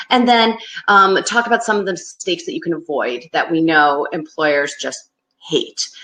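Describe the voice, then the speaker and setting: A woman with a Northeastern US accent speaks at medium pitch and a fairly quick pace. Her bright, sharp tone rides very wide pitch swings. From US Northeast. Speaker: career advice presenter. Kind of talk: webinar presentation. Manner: fast; loose enunciation.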